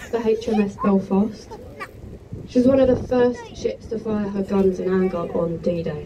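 Noticeable background noise accompanies a woman speaking with ordinary pitch variation. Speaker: tour guide. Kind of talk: tour commentary. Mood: joking, friendly. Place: boat.

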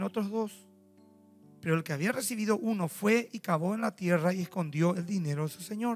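A high-pitched man at a fairly quick pace with ordinary pitch variation, faint music in the background. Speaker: pastor. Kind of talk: sermon. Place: church. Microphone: handheld.

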